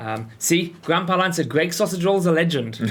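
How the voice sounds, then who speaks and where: With a British accent, a man talks at a moderate pace and uses lively intonation. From northeast England, Sunderland. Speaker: game studio community host. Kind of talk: casual livestream chat.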